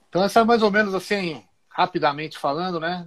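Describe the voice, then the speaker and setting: In a high-pitched voice, a man talks at a moderate pace. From interior of São Paulo state, Brazil. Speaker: police officer and jiu-jitsu instructor. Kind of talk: casual interview on a live stream.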